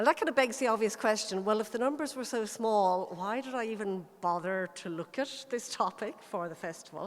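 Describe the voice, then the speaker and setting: A woman speaks with an Irish accent at a fairly high pitch. Her pace is fairly quick, with hardly any pauses. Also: lively intonation. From Ireland. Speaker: local historian. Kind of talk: lecture.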